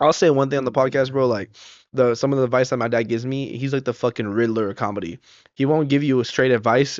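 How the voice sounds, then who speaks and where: Talking at a very fast pace, a man speaks with an American accent. His intonation stays fairly even. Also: medium pitch for a man. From Southern California. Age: 20s. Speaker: comedian. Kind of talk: casual chat.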